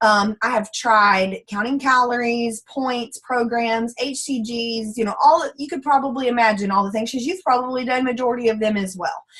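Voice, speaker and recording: A woman with a strong Texan accent speaks high and animated, with ordinary pitch variation and hardly any pauses. Noticeable background noise runs underneath. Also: moderate pace. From Central Texas. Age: 20s. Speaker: former teacher, network marketing distributor. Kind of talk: testimony. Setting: online group call.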